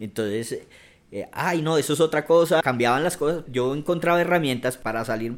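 A man talks at a moderate pace with ordinary pitch variation. His is an unremarkable speaking voice. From Bogotá, Colombia. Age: 40s. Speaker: activist and cultural manager. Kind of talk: interview conversation.

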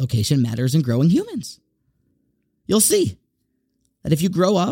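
A man with an American accent, fairly high pitch, lively intonation and an animated tone, somewhat breathy, in a dry, close sound with no echo. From US South. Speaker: Torah teacher. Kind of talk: weekly Torah talk.

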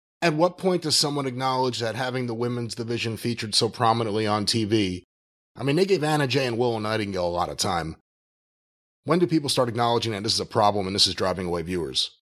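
The delivery is very fast, with lively intonation. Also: man, medium pitch for a man. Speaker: podcast co-host. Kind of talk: casual chat.

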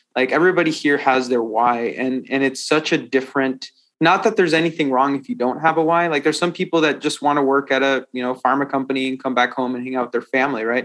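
A fairly high-pitched man with an American accent at a very fast pace, hardly any pauses, ordinary pitch variation and a quiet background. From US, Washington. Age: 30s. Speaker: tech company CEO. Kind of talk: interview. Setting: remote call.

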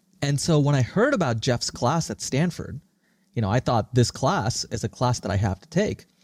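In a dry, close sound with no echo, a man with a medium pitch and a somewhat breathy voice speaks at a moderate pace with lively intonation and big swings in loudness. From India and Singapore. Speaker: startup founder and CEO. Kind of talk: interview. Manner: articulate and forceful.

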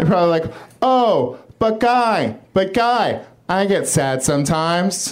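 A man with a high pitch speaks at a fairly slow pace with very even loudness, against noticeable background noise. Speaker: comedian. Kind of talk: stand-up. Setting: stage with audience.

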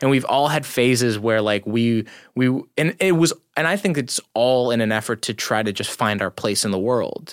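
A man with an unremarkable speaking voice talks at a moderate pace, with a medium pitch and lively intonation. The recording is very clean and dry, close with no echo and a silent background. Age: 20s. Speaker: stand-up comedian. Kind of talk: casual chat.

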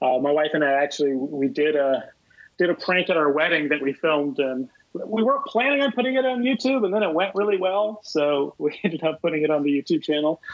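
Fairly high male voice, an unremarkable speaking voice, with lively intonation, a fairly quick pace and very even loudness. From US South, Columbia, South Carolina. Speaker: comedy prank organizer and filmmaker. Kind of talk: podcast interview, casual chat. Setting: phone call.

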